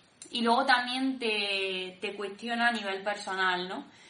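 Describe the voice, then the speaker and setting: A bright, sharp tone carries fairly even intonation through audible room echo. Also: woman. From Granada, Spain. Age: 20s. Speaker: discipleship school participant. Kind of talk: personal testimony.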